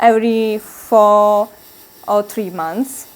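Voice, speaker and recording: A woman talks with an Italian accent. Her pace is very slow. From Italy. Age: 20s. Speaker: Buddhist nun, university student. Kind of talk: interview. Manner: halting.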